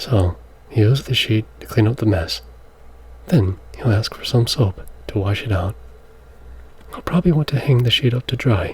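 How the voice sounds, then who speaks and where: Soft-spoken and medium-pitched, a man talks at a moderate pace with long, frequent pauses over noticeable background noise. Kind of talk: ASMR soft-spoken children's book read aloud.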